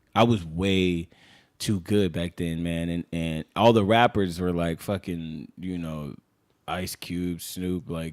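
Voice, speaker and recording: The speaker has a Los Angeles accent and a very slow pace. The sound is dry and close, with no echo. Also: man, very deep, low pitch for a man. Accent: Californian, Los Angeles. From Los Angeles, San Fernando Valley (Pacoima). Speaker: rapper. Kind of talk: casual chat. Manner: animated.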